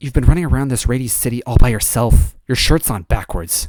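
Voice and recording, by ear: The words are read aloud by a natural voice.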